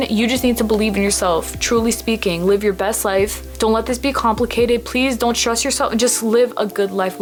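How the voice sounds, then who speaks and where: A very fast-talking woman over music in the background. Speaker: spiritual YouTuber, self-described psychic medium. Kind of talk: casual vlog talk to camera. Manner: animated.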